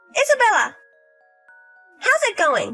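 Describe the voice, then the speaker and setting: An extremely high, squeaky put-on character voice sounds over faint music in the background. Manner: slurred.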